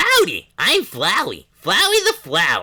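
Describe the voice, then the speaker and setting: A man's put-on character voice at an extremely high pitch, delivered at a fairly slow pace. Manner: cheery, sly.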